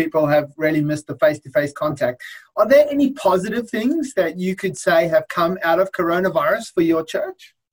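A man talks in an Australian accent at a moderate pace. He takes hardly any pauses. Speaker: lawyer. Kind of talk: interview.

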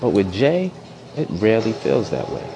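The man keeps to a moderate pace while noticeable background noise carries on. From New York. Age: 30s. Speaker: educator. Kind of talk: casual monologue. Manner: animated.

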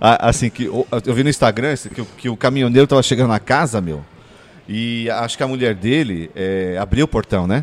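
A man with a normal speaking voice, medium in pitch, at a moderate pace and with ordinary pitch variation. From São Paulo, Brazil (Ipiranga). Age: 40s. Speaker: podcast co-host. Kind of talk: casual chat.

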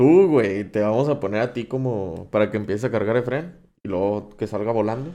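He talks at a moderate speed. The man's voice has a dark, mellow tone. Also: medium pitch for a man, ordinary pitch variation. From Monterrey, Mexico. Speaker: podcast host. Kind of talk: casual chat.

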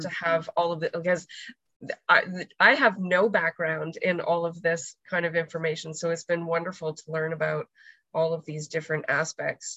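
Her unremarkable speaking voice set fairly low, a woman speaks at a moderate pace with fairly even intonation. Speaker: meeting moderator. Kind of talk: Q&A moderation. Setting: video call.

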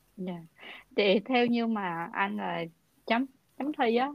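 A woman in a normal speaking voice talks at a fairly slow pace with a fairly high pitch and lively intonation, the sound dry and close with no echo over a quiet background. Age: 20s. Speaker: podcast host. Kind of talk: casual interview.

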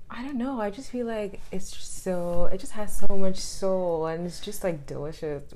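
At a moderate pace with hardly any pauses, a woman with a medium pitch and a dark, mellow tone speaks with ordinary pitch variation. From Ghana, Accra. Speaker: podcast guest. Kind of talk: casual chat.

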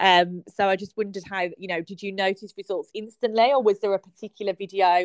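A woman with a British accent speaks at a fairly quick pace, recorded dry and close with no echo. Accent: regional British. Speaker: podcast host. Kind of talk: casual interview.

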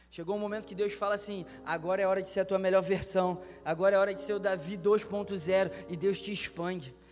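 With hardly any pauses, a man talks at a fairly quick pace and high pitch, keeping his intonation fairly even. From Brazil. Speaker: pastor. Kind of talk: sermon. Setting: church conference with live audience.

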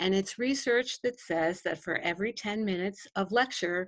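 A woman with an American accent and a normal speaking voice, medium in pitch, at a moderate pace with ordinary pitch variation, on a very clean recording with a silent background. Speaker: education coach and former principal. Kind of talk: interview discussion.

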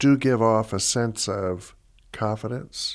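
A man with an American accent speaks at a very slow pace in a fairly low voice, on a very clean recording with a silent background. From Southwest Florida. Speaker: retired educator and counselor. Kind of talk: casual chat. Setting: studio.

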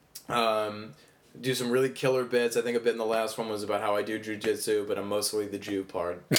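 The intonation stays flat and monotone throughout. Delivered at a fairly quick pace, it comes with an American accent. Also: man, fairly low pitch for a man. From US Midwest. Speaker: stand-up comedian. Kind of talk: casual chat.

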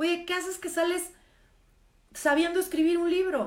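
This woman speaks in an animated tone at an extremely high pitch. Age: 50s. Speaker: live stream host, former therapist. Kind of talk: casual live stream monologue. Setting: social media live stream.

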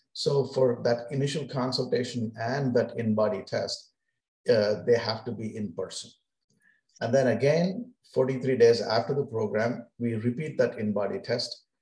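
A man's medium-pitched, somewhat breathy voice with a dark, mellow tone, ordinary pitch variation and a fairly slow pace. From India. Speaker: physician. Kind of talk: interview.

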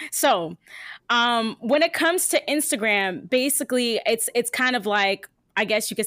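A woman with a plain, everyday voice at a moderate pace, in a dry, close sound with no echo and a very clean recording with a silent background. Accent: American. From New Jersey. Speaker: radio host. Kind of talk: casual chat.

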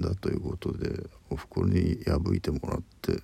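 A man speaks at a moderate pace with vocal fry. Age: 50s. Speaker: podcaster. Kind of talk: solo monologue. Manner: halting.

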